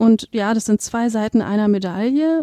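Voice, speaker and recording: In a dry, close sound with no echo, a woman speaks with a dark, mellow tone. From Berlin, Germany. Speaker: museum curator. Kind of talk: interview. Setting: museum foyer.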